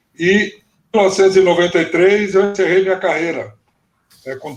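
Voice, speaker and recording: This man's voice sits at a high pitch. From Brazil, São Paulo state interior. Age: 60s. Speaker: former footballer and football coach. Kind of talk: interview storytelling on a live stream. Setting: live video stream.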